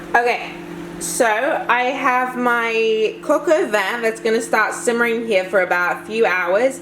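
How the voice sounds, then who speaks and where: A woman's fairly high, animated voice with lively intonation and very even loudness, plus audible room echo and noticeable background noise. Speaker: lifestyle vlogger. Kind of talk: casual vlog talk to camera. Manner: fast.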